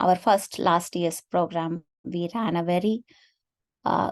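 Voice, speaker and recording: Someone speaks with a Tamil accent in a dry, close sound with no echo against a quiet background. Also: woman. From India, Tamil Nadu. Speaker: AI researcher and affinity group organizer. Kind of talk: webinar presentation.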